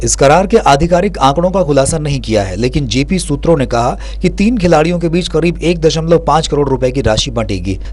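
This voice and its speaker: A man at a moderate pace, with hardly any pauses, over noticeable background noise. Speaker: news anchor, sports bulletin reader. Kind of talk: TV news bulletin read.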